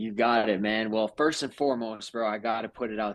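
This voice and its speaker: The man's voice has a medium pitch. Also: quiet background. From Brazil, then Manhattan, New York from age 14. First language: Portuguese. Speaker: real estate investor, house flipper. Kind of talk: casual interview on livestream.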